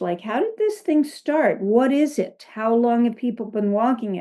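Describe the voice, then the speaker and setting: In a dark, mellow tone, a woman talks with an American accent. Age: 70s. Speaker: spiritual coach and author. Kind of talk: casual interview.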